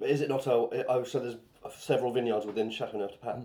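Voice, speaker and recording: With a southeast English accent, a man talks at a very fast pace. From southeast England, Bishop's Stortford (Essex/Hertfordshire border). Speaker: stand-up comedian. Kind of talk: casual chat. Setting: wine bar.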